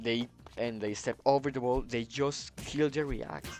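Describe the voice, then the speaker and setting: Music plays in the background as someone speaks at a moderate pace with a Spanish accent. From Colombia. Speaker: gaming video creator. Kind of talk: casual gaming commentary monologue. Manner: halting, many fillers.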